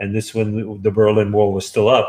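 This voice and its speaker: Against a quiet background, a man talks in a New York accent. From Brooklyn, New York. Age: 70s. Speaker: author. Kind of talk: interview.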